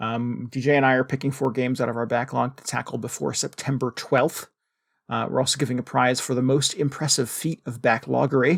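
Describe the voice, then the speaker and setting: Vocal fry runs through this fairly quick delivery in a Connecticut accent, with fairly even intonation. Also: man, medium pitch for a man, very clean recording, silent background. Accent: Northern Connecticut. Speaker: podcast co-host. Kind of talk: casual chat.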